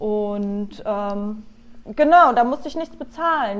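A woman with an ordinary speaking voice and fairly high pitch talks at a fairly slow pace with lively intonation. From Germany, Nuremberg (Franconia). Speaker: PR agency worker, emigrant. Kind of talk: casual interview chat. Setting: remote call.

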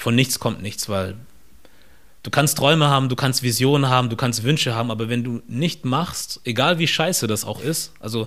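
Moving at a fairly quick pace, a man with an ordinary speaking voice talks at medium pitch with ordinary pitch variation. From southern Germany, near Stuttgart. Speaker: podcaster and content creator. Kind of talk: interview conversation.

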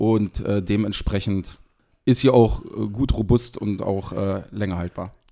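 With music in the background, a man speaks very slowly at a fairly low pitch. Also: fairly even intonation. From Harz region, Lower Saxony, Germany (Seesen). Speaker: sauce producer and caterer. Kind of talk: casual interview chat.

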